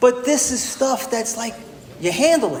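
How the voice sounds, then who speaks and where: A man with a New York accent speaks at an extremely high pitch. Audible room echo and noticeable background noise fill the clip. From New York City (Bronx). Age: 60s. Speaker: recovery speaker. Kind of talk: testimony. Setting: stage with audience. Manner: animated.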